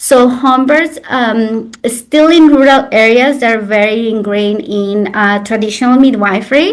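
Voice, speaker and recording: With a Mexican accent, the speaker moves at a fairly slow pace with hardly any pauses and ordinary pitch variation. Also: woman, fairly high pitch for a woman. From Mexico, Xalapa, Veracruz. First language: Spanish. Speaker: traditional birthkeeper and sobadora. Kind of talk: interview conversation. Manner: hesitant with fillers.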